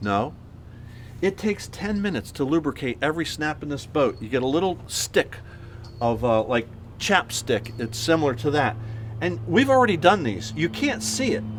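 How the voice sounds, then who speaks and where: The voice is somewhat breathy, with very wide swings in pitch. It moves at a moderate pace. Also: man, medium pitch for a man. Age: 60s. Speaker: marine canvas maker. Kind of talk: tutorial.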